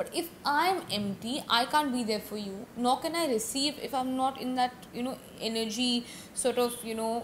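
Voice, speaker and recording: This woman speaks with a high pitch. Her pitch varies in an ordinary way. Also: moderate pace. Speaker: podcast guest, from a family of singers and actors. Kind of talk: casual interview chat.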